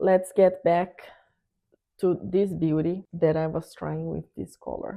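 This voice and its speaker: A woman with a fairly low pitch speaks in a strong Brazilian accent. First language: Portuguese. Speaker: art YouTuber. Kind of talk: product review tutorial.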